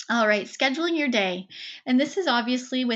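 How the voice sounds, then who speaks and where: The woman's voice sits high in pitch. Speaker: webinar presenter and coach. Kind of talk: webinar presentation. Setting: online webinar. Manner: fast.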